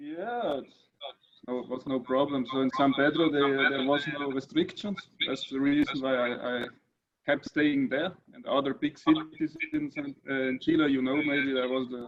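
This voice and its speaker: A man's fairly high voice with a German accent, moderate pace, fairly even intonation and big swings in loudness. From northern Italy, German-speaking minority. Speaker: crypto writer, election participant. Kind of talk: casual video chat. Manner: halting.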